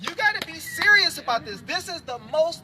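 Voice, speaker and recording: With an animated tone and very wide pitch swings, a man speaks in a raised, projected voice at a moderate pace. Noticeable background noise runs underneath. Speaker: activist speaker at a rally. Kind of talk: public speech to a live crowd.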